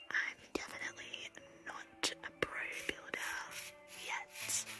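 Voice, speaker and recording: Someone whispers at a very slow pace with music in the background. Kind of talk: ASMR gaming commentary. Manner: whispered.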